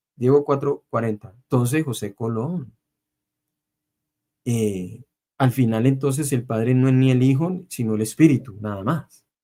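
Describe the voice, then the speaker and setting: Speaking at a fairly slow pace, a man leaves long, frequent pauses. His medium-pitched voice has a dark, mellow tone and ordinary pitch variation. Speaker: bible debate channel host. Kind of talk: heated debate.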